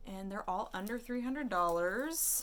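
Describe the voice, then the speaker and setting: A woman talks at a fairly slow pace with a medium pitch and ordinary pitch variation. Audible room echo surrounds her voice. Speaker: artist and vlogger. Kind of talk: casual vlog chat.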